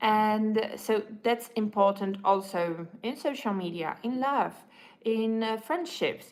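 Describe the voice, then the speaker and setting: Speaking with a non-native accent at a very slow pace, a woman is heard in a very clean recording with a silent background. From Europe. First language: not English. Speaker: livestreamer. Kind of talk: casual livestream monologue. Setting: livestream while having breakfast. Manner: halting.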